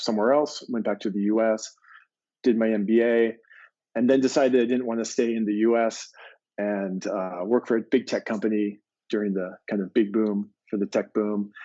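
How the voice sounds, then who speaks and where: With an American accent, a man talks at a moderate pace in an ordinary speaking voice, his pitch medium and his intonation fairly even. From US, Maine. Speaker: agency president. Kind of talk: interview.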